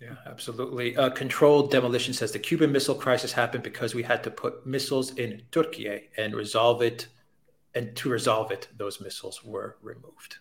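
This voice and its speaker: A man with a plain, everyday voice talks at a fairly quick pace and medium pitch. His intonation is fairly even, with big swings in loudness. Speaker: live stream host. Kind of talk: live stream show intro and viewer questions. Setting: live online stream.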